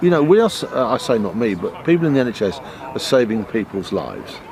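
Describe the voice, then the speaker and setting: With noticeable background noise behind him, a man speaks with very wide pitch swings. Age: 60s. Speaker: trade union representative. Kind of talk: interview. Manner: halting.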